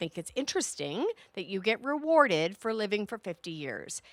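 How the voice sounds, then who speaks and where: With a Canadian accent, a woman talks at a moderate pace in a bright, sharp, animated tone with lively intonation, on a very clean recording with a silent background and a dry, close sound with no echo. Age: 50s. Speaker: podcast host. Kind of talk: solo podcast monologue.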